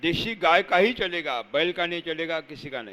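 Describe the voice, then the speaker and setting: A man's high-pitched voice has a bright, sharp tone. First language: Marathi (speaking Hindi). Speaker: natural farming trainer. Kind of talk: lecture. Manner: dictation-paced, repeating key phrases.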